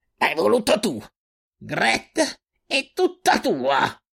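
Shouting in a put-on character voice, the speaker sounds raspy and fairly high-pitched while going at a very slow pace. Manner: angry shouting.

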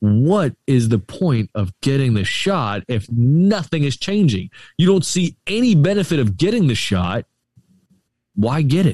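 In an American accent, a man with a fairly high pitch and a dark, mellow, somewhat breathy tone speaks at a fairly slow pace with very wide pitch swings and very even loudness, in a dry, close sound with no echo. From Florida, Tampa Bay area. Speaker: podcast guest. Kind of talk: casual chat. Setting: outdoors on remote call.

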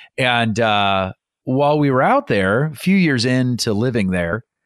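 Lively intonation marks this man's speech. The recording is very clean, with a silent background. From Iowa, US Midwest. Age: 40s. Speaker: success coach and keynote speaker. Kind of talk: casual interview chat. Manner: animated.

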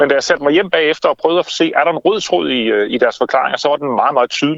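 A man rattles along at a very fast pace, his fairly high voice full of lively intonation. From Denmark, Funen (Haarby), from age six. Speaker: author and campaign founder. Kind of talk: interview. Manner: animated.

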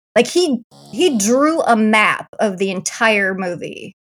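With music in the background, a woman with an American accent speaks at a very slow pace with lively intonation. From US Midwest. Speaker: film reviewer, YouTuber. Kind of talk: casual chat.

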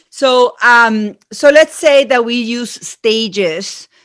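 Lively intonation marks this voice with an Argentine accent, captured on a very clean recording with a silent background. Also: woman. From Argentina. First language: Spanish. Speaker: marketing consultant. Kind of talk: interview.

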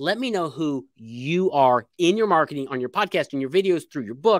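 In an American accent, the voice has an animated tone and lively intonation, with a dry, close sound with no echo on a very clean recording with a silent background. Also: man. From Indiana, US Midwest. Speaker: book publishing and marketing consultant. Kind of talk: casual interview chat.

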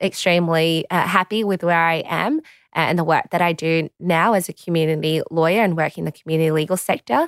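Recorded very cleanly with a silent background and a dry, close sound free of echo, a woman with an Australian accent speaks fairly quickly at a fairly low pitch, her intonation fairly even. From Australia, southwest Sydney. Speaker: solicitor and political candidate. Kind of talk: interview. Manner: halting.

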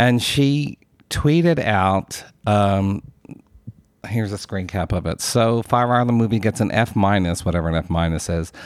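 A man speaks with a fairly low voice. The recording is very clean, with a silent background. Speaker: podcast host. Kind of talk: casual chat, movie discussion.

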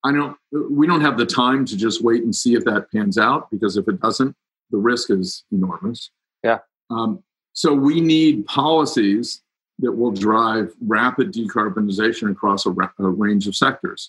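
A man with an American accent and a normal speaking voice, medium in pitch, with lively intonation at a moderate pace. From Ohio, US Midwest (Cincinnati). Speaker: climate advocacy group director. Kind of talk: interview.

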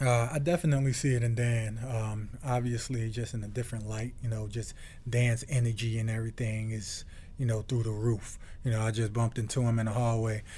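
In an American accent, the voice moves at a fairly quick pace with a monotone, flat delivery, a dark, mellow tone and a somewhat breathy quality, with audible room echo around it. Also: man, medium pitch for a man. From Newark, New Jersey. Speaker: retired football player. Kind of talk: casual chat.

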